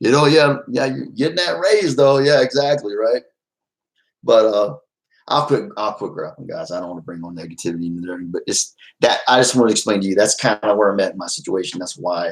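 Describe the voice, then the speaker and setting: A man at a medium pitch and fairly quick pace, with very wide pitch swings and big swings in loudness. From Texas, Fort Worth. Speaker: YouTuber. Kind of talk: casual livestream chat. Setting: livestream at home. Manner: loud, trying to quiet down.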